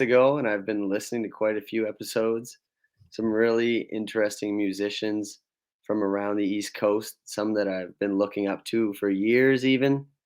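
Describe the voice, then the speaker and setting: A man talks at a moderate pace and medium pitch, with ordinary pitch variation, against a quiet background. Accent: Atlantic Canadian. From Nova Scotia, Canada. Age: 20s. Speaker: singer-songwriter. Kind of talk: podcast interview answer.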